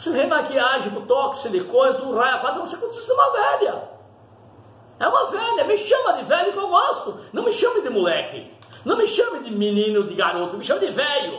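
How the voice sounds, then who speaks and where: A man's extremely high voice with very wide pitch swings at a moderate pace, amid noticeable background noise and audible room echo. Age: old. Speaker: pastor. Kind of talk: sermon. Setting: at home.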